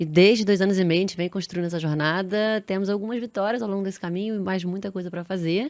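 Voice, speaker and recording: Speaking at a very fast pace in a Rio de Janeiro accent, a woman with a medium pitch and ordinary pitch variation is heard on a very clean recording with a silent background. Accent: carioca. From Rio de Janeiro, Brazil. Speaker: marketing executive. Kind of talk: podcast interview.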